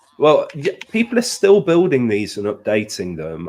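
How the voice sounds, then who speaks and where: With a British accent and a dark, mellow tone, a man talks at a moderate pace with very wide pitch swings. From Britain. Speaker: gaming streamer. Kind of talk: casual chat. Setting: live stream.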